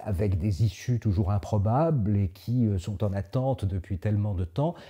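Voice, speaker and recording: At a moderate pace, a man talks at a fairly low pitch in a dark, mellow, somewhat breathy tone with ordinary pitch variation. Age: 70s. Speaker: Jesuit priest and former diplomatic adviser. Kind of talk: interview monologue. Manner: hesitant, frequent filler sounds.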